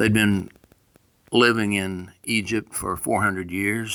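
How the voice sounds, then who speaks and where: A man with a Southern US accent speaks at a fairly slow pace in a fairly low pitch. His tone is bright and sharp, and his intonation stays fairly even. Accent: rural Southern US (hillbilly). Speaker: pastor. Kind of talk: informal devotional message. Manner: casual and folksy.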